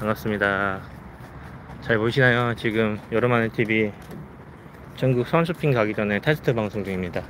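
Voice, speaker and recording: A man speaks at a moderate pace with ordinary pitch variation and long, frequent pauses. The sound is dry with no echo, over light background noise. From South Korea. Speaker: live streamer, father; live streamer. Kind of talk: casual live stream chat. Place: forest. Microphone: phone near.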